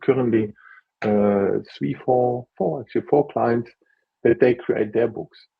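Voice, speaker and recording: A man's somewhat breathy voice with a non-native accent. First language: not English (English is his third language). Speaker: author and book consultant. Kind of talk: interview on a live video. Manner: halting, with restarts and fillers.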